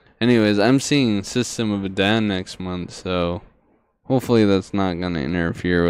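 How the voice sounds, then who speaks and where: Lively intonation runs through a man's very deep, low-pitched voice. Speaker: podcast host. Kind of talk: casual chat. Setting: livestream. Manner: slow.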